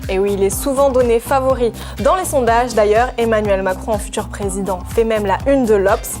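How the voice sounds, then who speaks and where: Music plays behind a speaker who talks at a moderate pace. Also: woman. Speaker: TV presenter and journalist. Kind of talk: TV news explainer hosting.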